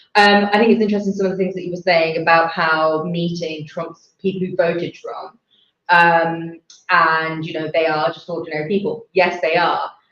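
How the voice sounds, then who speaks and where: In a British accent, a woman talks at a moderate pace with monotone, flat intonation. Her loudness swings a lot. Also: fairly low pitch for a woman. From England. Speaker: election night panelist. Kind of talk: panel discussion.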